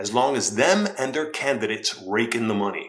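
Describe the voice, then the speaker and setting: Talking at a fairly quick pace, a man is heard with noticeable background noise. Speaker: political commentary youtuber. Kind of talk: opinion commentary. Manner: animated.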